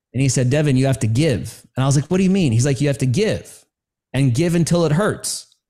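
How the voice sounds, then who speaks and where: A man with an American accent speaks fairly quickly with lively intonation and a dark, mellow, somewhat breathy tone. The recording is very clean, with a silent background. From New York City. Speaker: storytelling coach for coaches, military veteran. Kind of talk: podcast interview.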